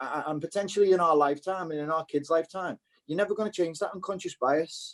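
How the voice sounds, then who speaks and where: Speaking very fast in a Liverpool accent, a man uses a high pitch and fairly even intonation, with a dry, close sound and no echo. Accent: Scouse. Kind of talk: casual chat. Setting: video call.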